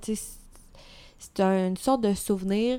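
A woman in a Quebec accent, medium in pitch, at a fairly slow pace with fairly even intonation. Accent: Québécois French. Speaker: podcast co-host. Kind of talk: casual chat.

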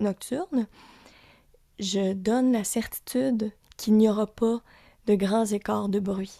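A woman's very slow, fairly high voice with a Lac-Saint-Jean accent, dark and mellow in tone, with ordinary pitch movement, dry and close with no echo, over a very clean, silent background. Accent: Lac-Saint-Jean Quebec French. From Quebec, Lac-Saint-Jean. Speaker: podcast host. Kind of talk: casual chat.

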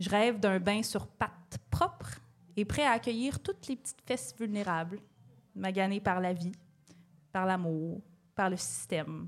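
A woman at medium pitch, fairly slow and with lively intonation, broken by long, frequent pauses. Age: 30s. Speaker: podcast co-host. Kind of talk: comedy monologue. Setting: stage with audience.

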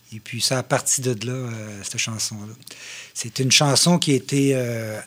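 A man speaks in a normal speaking voice at medium pitch with ordinary pitch variation. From Quebec, Mauricie (Shawinigan). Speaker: drummer. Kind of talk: casual chat.

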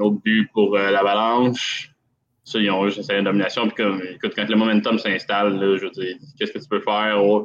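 A man with a Quebec accent talks at a fairly quick pace in a fairly low pitch, with monotone, flat intonation. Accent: Québécois French. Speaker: hockey commentator guest. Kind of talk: casual sports analysis chat.

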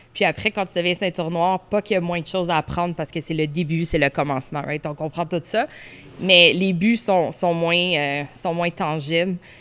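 A woman with a normal speaking voice and fairly low pitch talks at a moderate pace, her intonation fairly even. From Orléans, Ottawa, Ontario. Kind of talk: casual interview.

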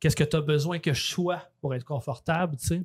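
A man with a Quebec accent speaks at a moderate pace, somewhat breathy. His pitch is fairly high and his intonation fairly even. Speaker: true crime podcaster and author. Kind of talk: casual interview. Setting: recorded in a bar.

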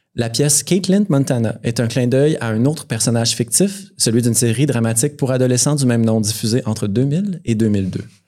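Speaking fairly quickly with hardly any pauses, a man uses lively intonation and a dark, mellow tone at a medium pitch. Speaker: podcast host. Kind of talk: casual chat. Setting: bar with live audience.

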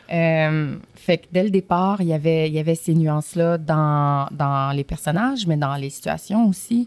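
A woman with a very deep, low pitch speaks at a fairly slow pace, her loudness swinging widely. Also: ordinary pitch variation, hardly any pauses. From Montreal, Quebec (Saint-Michel, Montréal-Nord). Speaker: film actress. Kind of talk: casual interview chat.

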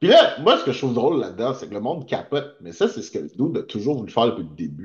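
Using vocal fry, a man talks at a very fast pace with very wide pitch swings and big swings in loudness. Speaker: podcast co-host. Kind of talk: casual chat.

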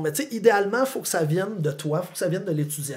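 Lively intonation in a Quebec accent, over noticeable background noise. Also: man. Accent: Québécois French. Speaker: philosophy teacher and author. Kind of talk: casual interview chat.

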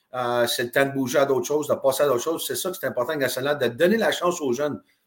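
A man talks at a very fast pace with a Quebec accent. His voice is fairly high in pitch. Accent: Québécois French. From Quebec (Drummondville). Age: 50s. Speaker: retired hockey player. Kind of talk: interview.

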